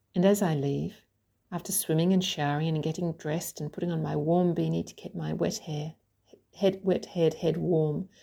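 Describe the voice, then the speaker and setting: Over a silent background on a very clean recording, a woman speaks at a moderate pace in a fairly low, somewhat breathy voice with a dark, mellow tone and fairly even intonation. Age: 50s. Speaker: writer and coach. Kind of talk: reading aloud.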